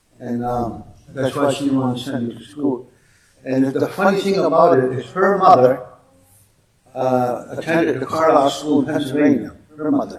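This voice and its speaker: Recorded with audible room echo, a man with a Canadian accent speaks at a moderate pace in a fairly high voice with ordinary pitch variation. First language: Mohawk. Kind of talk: public talk. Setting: museum stage with audience.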